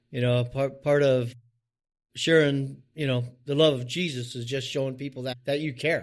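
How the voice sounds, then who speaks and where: With a normal speaking voice, this man talks at a moderate pace, his medium pitch showing ordinary pitch variation. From US West Coast (Oregon), Mennonite community. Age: 60s. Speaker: business owner in the trades. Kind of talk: interview. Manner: casual, repetitive.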